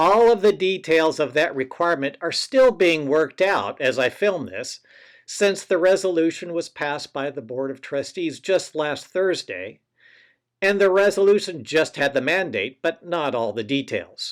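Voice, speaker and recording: With lively intonation and a moderate pace, a man speaks in a high voice over a very clean recording with a silent background. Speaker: college astronomy instructor. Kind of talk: pre-term announcement to students. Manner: loud.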